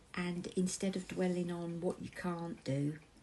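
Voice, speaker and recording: The voice is somewhat breathy, with a warm, gentle tone that is also dark and mellow. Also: woman. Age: 50s. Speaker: crafting channel host. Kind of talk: casual talk to camera.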